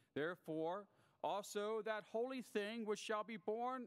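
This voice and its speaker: A man speaks against a quiet background. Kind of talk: scripture reading. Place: church. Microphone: podium.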